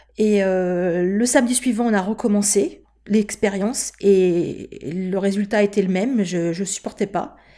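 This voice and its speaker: A woman with a dark, mellow tone speaks at a fairly slow pace. Her medium-pitched voice keeps fairly even intonation. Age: 50s. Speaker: patient advocate. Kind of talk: testimony. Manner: halting.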